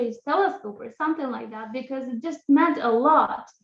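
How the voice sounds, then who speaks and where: A high-pitched woman's voice with an Albanian accent and lively intonation. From Kosovo. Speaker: graduate student. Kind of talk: lecture. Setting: video call.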